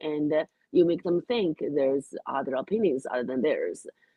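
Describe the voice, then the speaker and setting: A woman with a Chinese accent speaks at a moderate pace in a very deep, low pitch. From China. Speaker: comedian. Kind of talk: radio interview.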